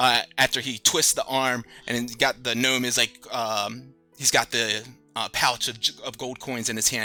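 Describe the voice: What's heard here is plain reading aloud.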